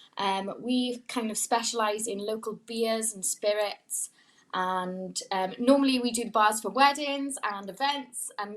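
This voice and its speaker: Speaking at a fairly slow pace, a woman with a fairly high pitch uses ordinary pitch variation and big swings in loudness. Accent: Welsh. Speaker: pop-up bar owner. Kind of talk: casual chat.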